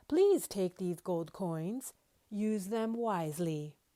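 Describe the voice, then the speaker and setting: At a very slow pace, a woman uses a put-on character voice at a medium pitch. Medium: read story.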